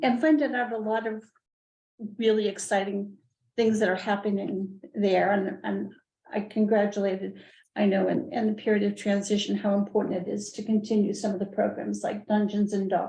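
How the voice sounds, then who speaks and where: A woman speaks at a moderate pace in a medium pitch, somewhat breathy and with a dark, mellow tone. Her intonation stays fairly even. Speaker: library board member. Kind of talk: board meeting discussion. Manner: halting, many repeated words.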